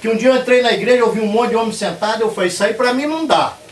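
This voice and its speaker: A man is speaking in a high voice. Noticeable background noise can be heard. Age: 60s. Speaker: lay preacher and church builder. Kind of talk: testimony.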